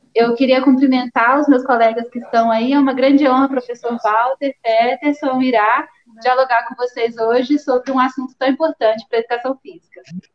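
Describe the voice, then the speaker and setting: Her voice is high-pitched and monotone, flat in intonation, as this woman moves at a moderate pace with hardly any pauses and big swings in loudness. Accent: Minas Gerais. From Minas Gerais, Brazil. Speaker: teacher and researcher. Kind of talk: live stream presentation.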